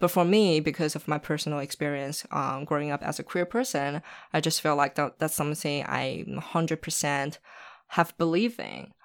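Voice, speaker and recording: In a Chinese accent, this woman speaks at a moderate pace with a very deep, low pitch and ordinary pitch variation, recorded very cleanly against a silent background. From Shanghai, China. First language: Mandarin Chinese. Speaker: documentary filmmaker and activist. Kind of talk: casual interview.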